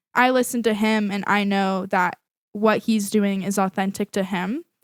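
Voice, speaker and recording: This woman has an unremarkable speaking voice, with an American accent, medium pitch and fairly even intonation at a moderate pace. The recording is very clean and dry, close with no echo, over a silent background. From Montana, US. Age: young. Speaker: singer-songwriter. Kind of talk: casual chat.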